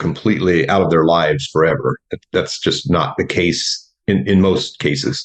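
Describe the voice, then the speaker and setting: A man with an American accent speaks at a very deep, low pitch with vocal fry. His intonation is lively, his pace moderate, and he hardly pauses. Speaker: builder, coaching client. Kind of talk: interview conversation. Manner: halting.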